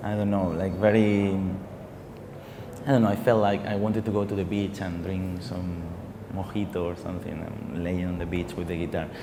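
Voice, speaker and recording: Through noticeable background noise and audible room echo, a man with a Spanish accent and a very deep, low pitch talks at a moderate pace with long, frequent pauses. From Spain. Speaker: singer. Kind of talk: TV interview. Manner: halting, many repetitions and fillers.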